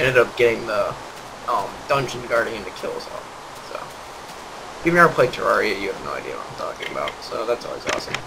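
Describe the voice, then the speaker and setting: Over noticeable background noise and audible room echo, a man talks at a fairly quick pace with big swings in loudness. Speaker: gaming youtuber. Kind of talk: gameplay commentary. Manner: monotone; hesitant, many fillers.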